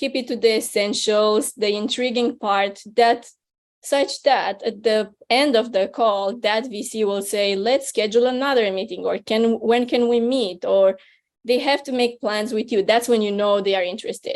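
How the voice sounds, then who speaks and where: This woman talks with a non-native accent in a fairly high pitch and a fairly even intonation. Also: moderate pace. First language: not English. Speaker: venture capital investor, speaker. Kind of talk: webinar talk. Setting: online webinar.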